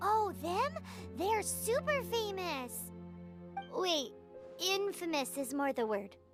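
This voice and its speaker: A high-pitched, put-on character voice speaks at a very slow pace with long, frequent pauses over clear background music. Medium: video game. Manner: chatty, cheeky.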